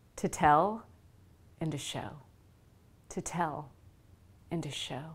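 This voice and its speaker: Speaking very slowly in an American accent, a woman with a very deep, low pitch sounds somewhat breathy, her loudness swinging widely and her pitch varying in an ordinary way amid audible room echo. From US South. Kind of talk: devotional talk.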